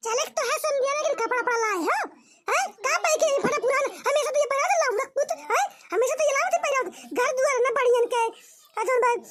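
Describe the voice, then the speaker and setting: In a squeaky, cartoonish character voice, a woman talks very fast at an extremely high pitch with lively intonation and long, frequent pauses. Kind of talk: rustic comic cartoon sketch. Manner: loud, argumentative.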